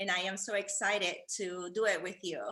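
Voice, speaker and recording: With a Peruvian accent, a woman speaks at a medium pitch and a moderate pace. Her tone is bright and sharp. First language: Spanish. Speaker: fashion influencer, wheelchair user. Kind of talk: casual interview. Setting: video call from living room. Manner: halting.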